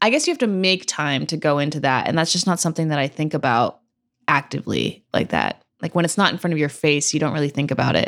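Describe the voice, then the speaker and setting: Vocal fry runs through this very fast delivery, which has very even loudness and ordinary pitch variation. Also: woman, very deep, low pitch for a woman. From California, Santa Cruz. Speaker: podcast host. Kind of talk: casual chat.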